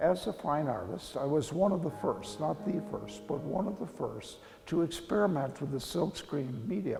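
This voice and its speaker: Over music in the background, a man with a fairly high pitch speaks at a moderate pace with hardly any pauses and very wide pitch swings. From Kansas. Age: 80s+. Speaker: printmaker artist. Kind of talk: interview monologue.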